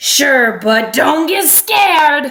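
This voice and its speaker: Raspy and growling, this put-on character voice sits at a high pitch. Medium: read story.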